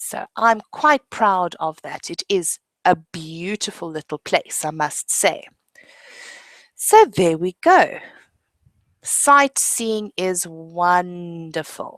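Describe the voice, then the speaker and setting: With a South African accent, a woman speaks at a very slow pace in a fairly low pitch, her lively intonation paired with big swings in loudness, in a dry, close sound with no echo. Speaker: English teacher. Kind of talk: online lesson. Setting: video webinar.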